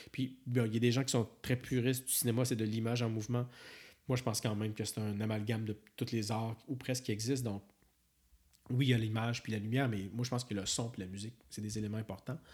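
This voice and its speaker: On a very clean recording with a silent background, a man with a Quebec accent talks at a very fast pace, at medium pitch, with monotone, flat intonation. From rural Quebec. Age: 40s. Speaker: film and TV director. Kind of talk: casual interview chat.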